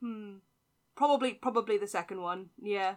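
A woman's medium-pitched voice in a British accent, at a fairly quick pace. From UK. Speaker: podcast guest. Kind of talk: casual chat. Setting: remote call. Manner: laughs often.

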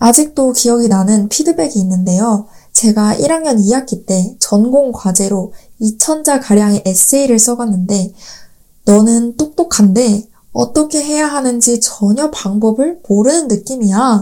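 A woman's fairly high, dark and mellow voice, fairly slow in pace, with lively intonation. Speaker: podcast host, Korean language teacher. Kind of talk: scripted monologue for learners. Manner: clear, learner-friendly pacing.

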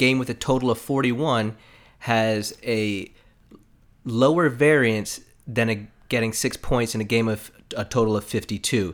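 A man with an American accent has an ordinary speaking voice at medium pitch. He talks at a fairly slow pace with ordinary pitch variation. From South Florida. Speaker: sports and gambling podcast co-host. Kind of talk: casual chat.

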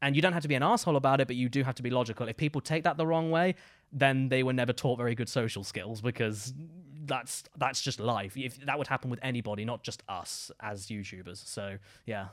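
A man talks at a very fast pace in an animated tone. His pitch varies in an ordinary way over a very clean recording with a silent background. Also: medium pitch for a man. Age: 20s. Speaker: gaming comedy YouTuber. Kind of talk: casual chat. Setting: studio.

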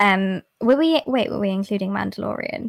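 Dry, close sound with no echo carries a woman's a plain, everyday voice. She keeps a moderate pace and ordinary pitch variation. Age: 20s. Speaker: ASMR YouTuber and cosplayer. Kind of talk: casual chat.

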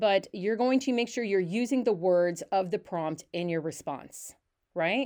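A woman's unremarkable speaking voice at medium pitch, lively intonation and a fairly slow pace, over a quiet background. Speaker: English professor. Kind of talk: casual chat.

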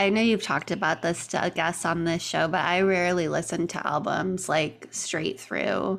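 Vocal fry runs through a delivery of very even loudness, fairly even intonation and moderate pace, captured on a very clean recording with a silent background. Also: woman, fairly low pitch for a woman. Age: 30s. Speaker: podcast producer. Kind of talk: interview, casual chat.

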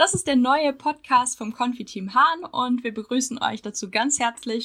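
This woman's voice is high-pitched, with a bright, sharp tone. She talks at a fairly slow pace with ordinary pitch variation. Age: 20s. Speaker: university student, podcast co-host. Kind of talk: casual chat.

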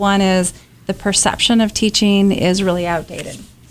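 A plain, everyday voice, a woman with an American accent, medium in pitch, at a moderate pace. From rural North Carolina. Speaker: education advocacy nonprofit leader. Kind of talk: radio interview.

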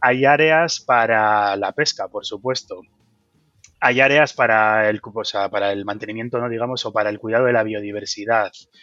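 A normal speaking voice from a man, medium-pitched, moderately paced, with fairly even intonation. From Basque Country, Bilbao. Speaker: wind energy engineer. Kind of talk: interview.

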